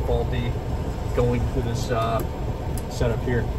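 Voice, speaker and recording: Loud background noise behind a man speaking at a fairly quick pace. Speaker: vehicle owner vlogger. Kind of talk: casual vlog chat. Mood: relaxed, upbeat. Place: car. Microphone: phone near.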